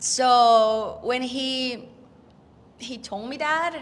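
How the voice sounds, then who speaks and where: This woman has a high pitch and speaks with a Spanish accent. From Mexico, Puerto Vallarta. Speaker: actress and rock singer. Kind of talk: interview. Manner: halting.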